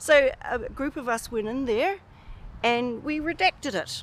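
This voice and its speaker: A woman speaks with a New Zealand accent. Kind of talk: interview answer.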